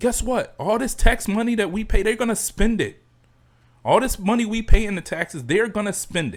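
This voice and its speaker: The speaker's loudness swings widely while the pitch varies in an ordinary way. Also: man, high pitch for a man, moderate pace. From Chicago, US. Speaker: podcast host. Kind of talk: solo podcast rant. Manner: stammering repetitions.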